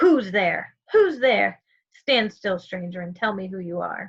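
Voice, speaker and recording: Using a put-on character voice, a woman growls at medium pitch and a fairly slow pace. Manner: menacing, demanding.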